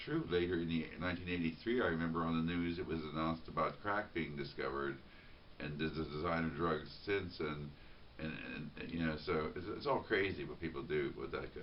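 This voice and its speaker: A man speaks in a very deep, low register with vocal fry and ordinary pitch variation, and the room echo is audible. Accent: American. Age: 50s. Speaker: vlogger. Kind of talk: spontaneous monologue. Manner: halting, many repetitions and fillers.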